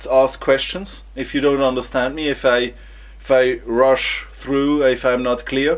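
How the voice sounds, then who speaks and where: A man with a non-native accent. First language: German. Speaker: engineer vlogger. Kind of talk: vlog presentation. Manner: halting, with repetitions.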